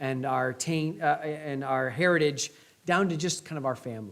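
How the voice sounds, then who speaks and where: Speaking with a Midwestern US accent, a man uses a fairly high pitch, fairly even intonation, and a moderate pace. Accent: US Midwest. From Indiana, US Midwest. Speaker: pastor. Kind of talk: sermon.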